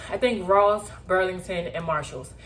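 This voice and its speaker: Audible room echo surrounds a woman's voice as she speaks. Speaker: lifestyle vlogger. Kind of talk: shopping haul video. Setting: home, sitting on the floor. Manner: animated.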